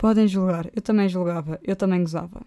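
Recorded with a dry, close sound and no echo, a woman speaks at a moderate pace with ordinary pitch variation. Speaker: podcaster. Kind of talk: casual monologue. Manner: animated.

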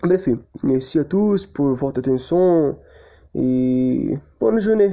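A man talks at a very slow pace in a strong non-native accent. His tone is dark and mellow, with ordinary pitch variation. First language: not French (speaking French). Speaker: language student. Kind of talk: prepared presentation. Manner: halting.

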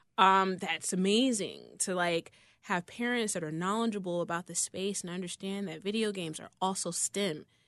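A woman with an ordinary speaking voice and an American accent, medium in pitch, at a moderate pace with hardly any pauses, fairly even intonation and big swings in loudness, over a quiet background. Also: dry, close sound with no echo. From Chicago South Side. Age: 30s. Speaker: gaming influencer. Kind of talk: interview. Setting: studio.

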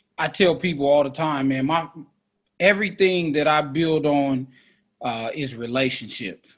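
A man's fairly high-pitched voice at a moderate pace, with ordinary pitch variation. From US West Coast, East Oakland, California. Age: 30s. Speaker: math teacher and tutor. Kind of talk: casual interview chat.

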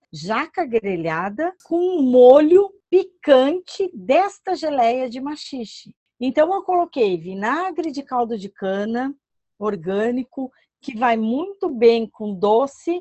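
A woman speaks at a very slow pace and a high pitch, with very wide pitch swings and big swings in loudness. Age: 50s. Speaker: plant food specialist. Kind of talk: podcast interview.

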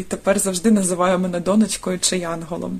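A woman's medium-pitched voice holds a monotone, flat intonation while moving at a moderate pace. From Dnipro, Ukraine. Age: 30s. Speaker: volunteer. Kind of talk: recorded testimony.

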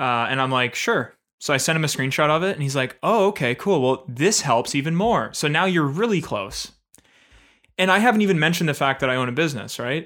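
A man speaks at a fairly quick clip with lively intonation and a fairly high pitch. His tone is bright and sharp, on a very clean recording with a silent background. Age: 20s. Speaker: podcast co-host. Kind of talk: casual chat.

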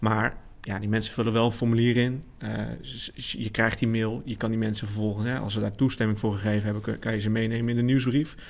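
This is a man with a plain, everyday voice at a medium pitch. He talks at a fairly quick pace with fairly even intonation. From Netherlands, Amersfoort. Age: 30s. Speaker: marketing specialist. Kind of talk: casual chat.

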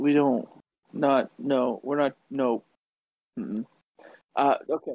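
A man speaks with a fairly high pitch. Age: 20s. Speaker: podcast co-host. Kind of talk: casual chat.

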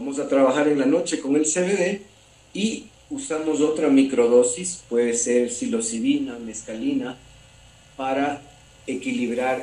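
In audible room echo with noticeable background noise, a man of medium pitch speaks at a very slow pace with ordinary pitch variation. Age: 40s. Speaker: holistic therapist. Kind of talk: interview.

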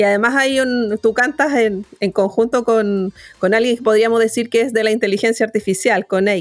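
A woman with a fairly high pitch uses a normal speaking voice at a moderate pace, with fairly even intonation. Her loudness stays very even, and she makes hardly any pauses. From Chile, born in Temuco, moved to Santiago around 9. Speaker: radio host, journalist. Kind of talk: radio interview.

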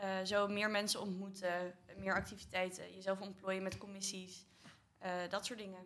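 A woman talks at a moderate pace and a medium pitch, with monotone, flat intonation. Long, frequent pauses break up her speech, and room echo is audible. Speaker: student association board member. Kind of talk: casual chat.

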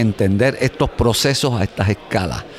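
A man is talking while noticeable background noise carries on behind him. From Puerto Rico. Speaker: space scientist. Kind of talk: interview. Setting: conference.

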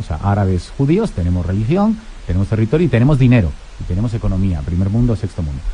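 A man's fairly quick speech with very wide pitch swings, music playing in the background. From Spain, Madrid. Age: 40s. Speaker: historian and newspaper editor. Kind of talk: radio interview.

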